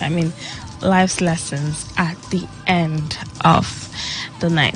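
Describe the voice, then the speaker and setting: A woman talks at a very slow pace with ordinary pitch variation. Music plays in the background. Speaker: radio show host. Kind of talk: radio talk show monologue. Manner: casual, chatty.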